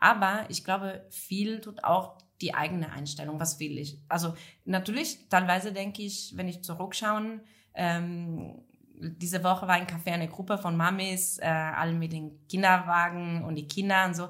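In an Italian accent, the speaker keeps fairly even intonation while the loudness swings widely. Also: woman, fairly low pitch for a woman, moderate pace. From northern Italy, Friuli. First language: Italian (speaking German). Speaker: café entrepreneur. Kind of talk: casual interview chat. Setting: café back room. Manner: halting.

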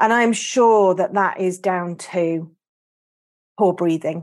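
A woman speaks with a British accent. Her pitch is medium and the background is quiet. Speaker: podcast host and artist. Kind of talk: casual interview chat. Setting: online call.

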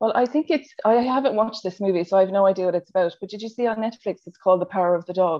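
A woman at medium pitch and a very fast pace, with hardly any pauses, ordinary pitch variation and big swings in loudness. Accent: Irish. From Ireland. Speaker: nurse working in education. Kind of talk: podcast interview. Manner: gentle, warm.

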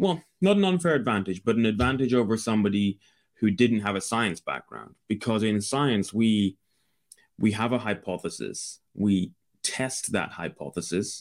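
A man with a Scottish accent and a fairly low pitch at a moderate pace, with ordinary pitch variation, on a very clean recording with a silent background. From Scotland. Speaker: Amazon seller and business broker. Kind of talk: interview.

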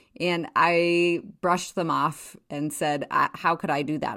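With an American accent, a woman in an ordinary speaking voice talks at a fairly slow pace and a fairly low pitch, in a very clean recording with a silent background. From Wyoming, US. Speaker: podcast host and town mayor. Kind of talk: casual monologue.

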